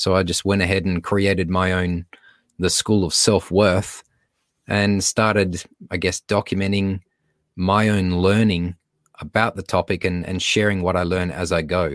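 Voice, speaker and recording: A man with an Australian accent speaks at a moderate pace in a very deep, low pitch. His intonation is monotone and flat, and the sound is dry and close with no echo. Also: very clean recording, silent background. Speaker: speaker and beatboxer. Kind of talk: casual interview chat.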